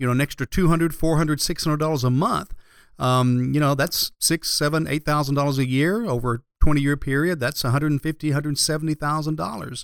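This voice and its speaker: A fairly high-pitched man speaking very fast, recorded dry and close with no echo, very clean with a silent background. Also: ordinary pitch variation. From Georgia, Marietta area. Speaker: financial advisor and radio show host. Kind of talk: radio talk show. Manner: hesitant, many fillers and repetitions.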